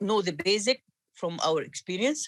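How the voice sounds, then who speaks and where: The speaker talks at a moderate pace in an Arabic accent. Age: 60s. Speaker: cardiologist and course organizer. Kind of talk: meeting introduction. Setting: video call.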